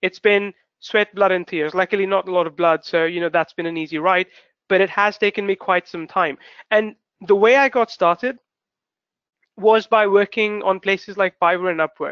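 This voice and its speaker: This man has a high pitch and fairly even intonation, speaking with a non-native accent. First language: not English. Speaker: webinar host, online marketer. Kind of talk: webinar presentation. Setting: live webinar broadcast. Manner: fast; rambling, constructs sentences as he goes.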